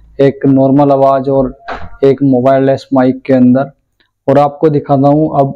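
With faint music in the background, a man speaks fairly slowly in a fairly high, monotone, flat voice. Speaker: tech YouTuber. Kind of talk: tutorial.

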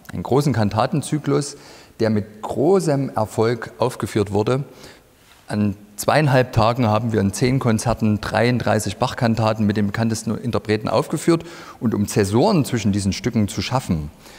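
Pitch variation from this man is ordinary. He keeps a moderate pace. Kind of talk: interview answer. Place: hall. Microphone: lapel.

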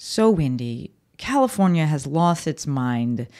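The voice swings very widely in pitch. The background is quiet. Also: woman. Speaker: podcast host. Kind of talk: casual podcast monologue. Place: home room. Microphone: studio mic.

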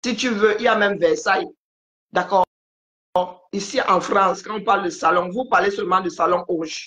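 A woman's bright, sharp voice at medium pitch, with ordinary pitch variation, a moderate pace, long, frequent pauses and a quiet background. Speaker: live-stream commentator. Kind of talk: casual live-stream chat. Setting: video call. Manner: calm. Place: home room. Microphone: phone near.

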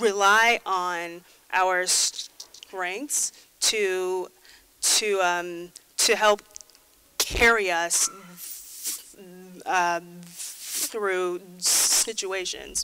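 Noticeable background noise sits behind a woman's voice. She speaks at a very slow pace, with a medium pitch and fairly even intonation. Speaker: conference speaker. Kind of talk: conference talk.

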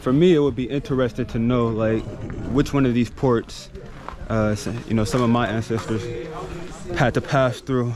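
With noticeable background noise but a dry sound with no echo, a man talks with long, frequent pauses. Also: moderate pace. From United States. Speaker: travel vlogger. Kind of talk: vlog narration. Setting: outdoors. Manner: animated. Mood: reflective, indignant at times. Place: beach. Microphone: phone near.

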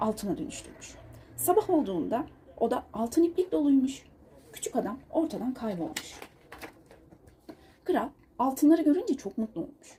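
A woman speaks at a moderate pace with a fairly high pitch and big pitch swings. Her tone is dark and mellow, with a husky, rough edge.

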